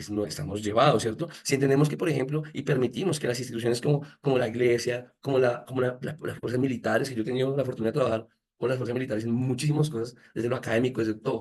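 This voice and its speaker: Pitch varies in an ordinary way as the words come at a very fast pace. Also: man, medium pitch for a man. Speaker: education speaker. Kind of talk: lecture.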